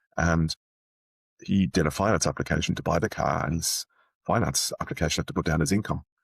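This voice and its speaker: A fairly quick voice with an Irish accent, vocal fry, ordinary pitch variation and very even loudness, dry and close with no echo. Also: man, very deep, low pitch for a man. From Ireland, Dublin. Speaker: sales leader and art dealer. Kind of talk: interview.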